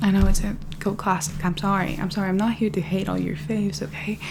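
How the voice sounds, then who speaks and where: A soft-spoken woman at a moderate pace, with music in the background. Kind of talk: ASMR book haul ramble to camera. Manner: soft-spoken, rambling.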